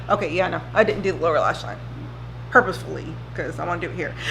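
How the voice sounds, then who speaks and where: Audible room echo hangs on every word a woman says. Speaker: beauty vlogger. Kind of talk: casual chat. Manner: slow.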